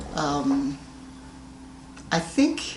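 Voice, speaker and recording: Audible room echo around a woman's voice, its pitch varying in an ordinary way. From Colorado, US. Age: 80s+. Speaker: grandmother interviewed about her life. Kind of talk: family oral history interview.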